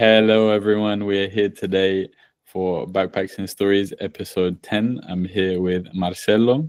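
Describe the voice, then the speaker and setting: At a fairly slow pace, a man with an English accent speaks in a fairly low voice with fairly even intonation. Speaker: podcast host. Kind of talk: casual chat.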